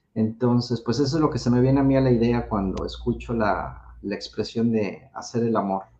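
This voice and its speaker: Somewhat breathy and dark, mellow in tone, a man speaks at a medium pitch and a moderate pace with fairly even intonation and hardly any pauses. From Mexico City. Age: 40s. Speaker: sex educator. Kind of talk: casual chat.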